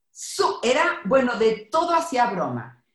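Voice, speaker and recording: Her voice carries vocal fry as the woman talks at a fairly slow pace, with audible echo in the room. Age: 50s. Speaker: psychologist. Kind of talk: casual chat.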